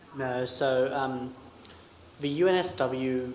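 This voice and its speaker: A man's medium-pitched voice with an Australian accent, in audible room echo. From Australia, Sydney. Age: young. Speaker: military academy cadet. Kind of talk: Q&A panel answers.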